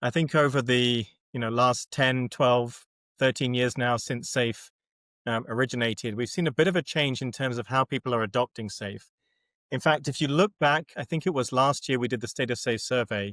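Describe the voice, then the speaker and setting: In a British accent, a man talks at a medium pitch with ordinary pitch variation, recorded very cleanly against a silent background. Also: moderate pace, dry, close sound with no echo. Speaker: agile framework methodologist. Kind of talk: podcast interview.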